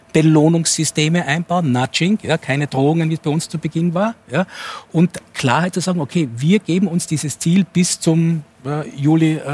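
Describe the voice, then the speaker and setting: A man with an unremarkable speaking voice talks at a moderate pace, his pitch fairly high with ordinary variation. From Innsbruck, Austria. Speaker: sociologist and futurist. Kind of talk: talk show debate.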